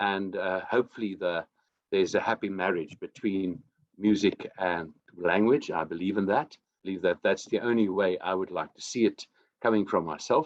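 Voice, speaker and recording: A man with a South African accent speaks at a moderate pace in a fairly low pitch. His loudness swings widely, while his pitch varies in an ordinary way. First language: Afrikaans. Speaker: singer-songwriter. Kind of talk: interview.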